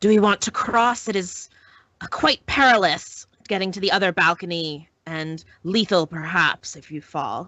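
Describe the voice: In a put-on character voice with a hissing quality, the speaker keeps a moderate pace and ordinary pitch variation while loudness swings widely. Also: woman, medium pitch for a woman.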